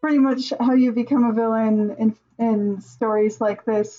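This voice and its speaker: The tone is dark and mellow. There is a somewhat breathy quality to it. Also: woman. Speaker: streamer reviewing original characters. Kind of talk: casual live stream commentary. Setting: live stream.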